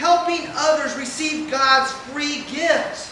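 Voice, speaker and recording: A man uses a raised, projected voice with fairly even intonation. There is audible room echo and light background noise. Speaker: preacher delivering a lesson. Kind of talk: sermon. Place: hall.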